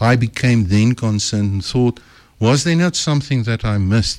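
On a very clean recording with a silent background, a man uses a plain, everyday voice at medium pitch with ordinary pitch variation. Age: 60s. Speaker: author and speaker. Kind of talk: radio interview. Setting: radio studio.

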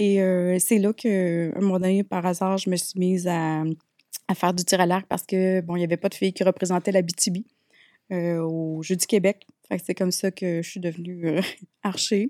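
A woman speaks in a Quebec accent at a moderate pace, with a medium pitch, a dark, mellow tone, monotone, flat intonation and long, frequent pauses. The recording is very clean, with a silent background and a dry, close sound with no echo. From Quebec, Abitibi. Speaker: speaker and wellness entrepreneur. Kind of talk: casual interview.

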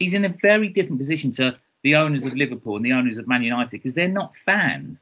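At a very fast pace, a man talks at medium pitch. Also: lively intonation. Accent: southeast English. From Kent, southeast England. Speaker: football podcast co-host. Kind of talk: casual chat. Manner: animated.

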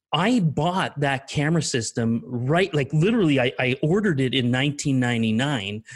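In a Canadian accent, a somewhat breathy man speaks at a moderate pace and fairly high pitch with lively intonation and hardly any pauses, on a very clean recording with a silent background. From eastern Canada. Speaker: storm chaser and photographer. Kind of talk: casual interview, storytelling. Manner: relaxed, laughs often.

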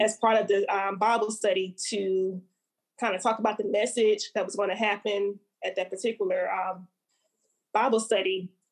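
The woman's fairly high voice keeps a moderate pace. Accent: Alabama. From Montgomery, Alabama, US South. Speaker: poet and actor. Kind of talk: casual interview chat.

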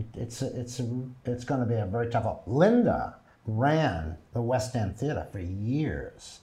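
A man's medium-pitched, somewhat breathy voice, with ordinary pitch variation and a fairly slow pace. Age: 70s. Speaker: actor and theater producer. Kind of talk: interview. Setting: studio.

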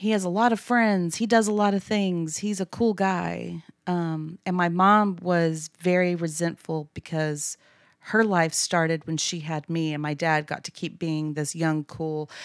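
In a Texan accent, a woman speaks at a fairly slow pace and fairly low pitch with ordinary pitch variation. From Texas (Abilene). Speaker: church member guest. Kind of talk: personal testimony. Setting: studio.

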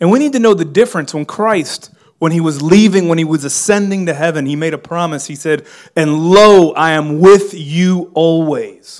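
A man with an American accent talks at a moderate pace, his high pitch showing ordinary pitch variation. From Miami, US. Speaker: pastor. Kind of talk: sermon. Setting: church with congregation. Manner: filler-heavy, repeats words.

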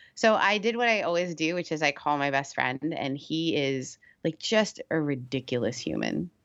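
Against a quiet background, a woman with a very deep, low pitch and vocal fry speaks with lively intonation and hardly any pauses. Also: moderate pace. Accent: American. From Canada. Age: 30s. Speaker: pastor and podcast host. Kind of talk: casual interview chat.

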